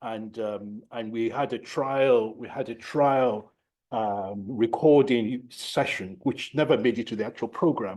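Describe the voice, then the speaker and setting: A man with a Nigerian accent, a dark, mellow tone and a medium pitch, at a fairly slow pace with ordinary pitch variation over a quiet background. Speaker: professor of psychiatry. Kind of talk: lecture. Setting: lecture hall, no slides. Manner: repetitive, halting.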